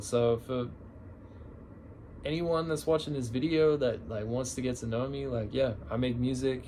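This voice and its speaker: The speech moves at a fairly slow pace. Audible room echo can be heard. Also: man. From Australia, Canberra. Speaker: musician vlogger. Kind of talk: casual chat. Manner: casual, filler-heavy rambling.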